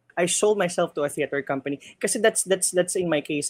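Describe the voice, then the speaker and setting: A woman speaks with a Filipino accent. Her pitch variation is ordinary. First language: Tagalog. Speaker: theater stage manager. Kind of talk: casual interview. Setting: video call.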